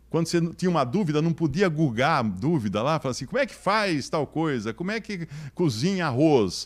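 A man speaks at a moderate pace with a fairly high pitch, lively intonation and an animated tone. The background is quiet. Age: 60s. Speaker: motivational speaker. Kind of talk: lecture. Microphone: handheld.

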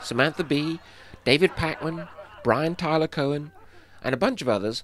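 With a British accent, a man delivers his words fairly quickly. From England. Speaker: animator and illustrator. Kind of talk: crowdfunding pitch to camera.

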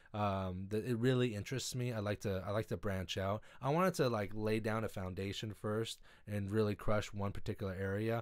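An unremarkable speaking voice of a man with an American accent, fairly low in pitch, at a fairly quick pace with hardly any pauses and fairly even intonation, over a quiet background. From US West Coast, Los Angeles. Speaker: window tinter and YouTube host; YouTube host. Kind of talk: livestream Q&A chat. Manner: casual with many filler words. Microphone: studio mic.

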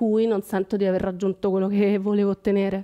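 The setting is quiet. A woman's voice has a dark, mellow tone. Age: 40s. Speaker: working mother taking part in a coaching program; interviewee. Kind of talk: personal testimony in an interview. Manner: halting, with repetitions. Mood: reflective, personal. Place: shop. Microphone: headset.

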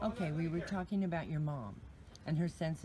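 A woman's somewhat breathy voice, very deep and low in pitch, with a dark, mellow tone, ordinary pitch variation and light background noise. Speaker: interviewer. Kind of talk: interview questions. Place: garden. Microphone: phone near.

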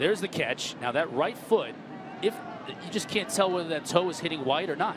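Over noticeable background noise, a man with a high pitch speaks in an energetic tone at a fairly quick pace, with ordinary pitch variation. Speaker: play-by-play announcer. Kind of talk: live sports commentary. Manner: fast, energetic play-calling.

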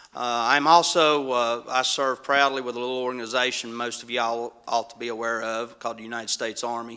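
A man talks at a fairly quick pace in a bright, sharp tone at medium pitch, with big swings in loudness. His intonation is monotone and flat, and he hardly pauses. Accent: western North Carolina. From mountains of North Carolina. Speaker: county commission candidate, police detective. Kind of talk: candidate forum introduction.

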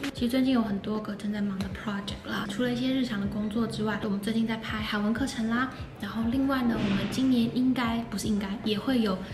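Over music in the background, a woman speaks at a very fast pace with monotone, flat intonation. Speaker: vlogger. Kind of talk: casual vlog chat. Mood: chatty, amused. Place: hall. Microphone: phone near.

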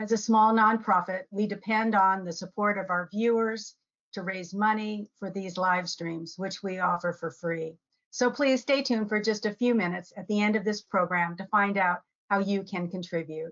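A woman speaks at a moderate pace with fairly even intonation over a quiet background. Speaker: nonprofit host opening an event. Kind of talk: event welcome and introduction. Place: home room. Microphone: webcam.

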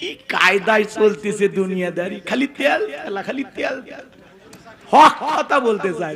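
A man with a high pitch talks in an animated tone, his intonation lively and his loudness swinging widely, amid noticeable background noise. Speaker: Islamic preacher. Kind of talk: sermon.

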